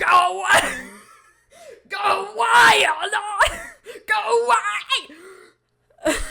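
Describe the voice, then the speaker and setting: A shouted, put-on character voice at an extremely high pitch, very slow, with long, frequent pauses. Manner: shouting, distressed.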